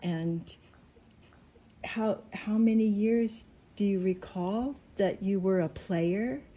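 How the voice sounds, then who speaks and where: Somewhat breathy and dark, mellow in tone, the voice moves at a very slow pace with ordinary pitch variation and long, frequent pauses. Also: woman, medium pitch for a woman. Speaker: interviewer.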